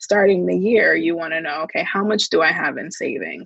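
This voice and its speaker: A woman with an American accent talks in a normal speaking voice, fairly low in pitch with ordinary pitch variation. The sound is dry and close, with no echo. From New Jersey, US. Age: 20s. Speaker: financial wellness advocate. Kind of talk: podcast interview. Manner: casual.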